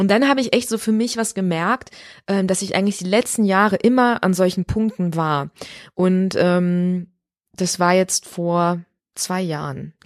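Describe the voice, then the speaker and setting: A woman with a normal speaking voice, medium pitch and ordinary pitch variation at a fairly slow pace, dry and close with no echo on a very clean recording with a silent background. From Ruhr area, Germany (Recklinghausen). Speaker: musical theatre performer. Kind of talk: casual interview. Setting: dressing room in an opera house.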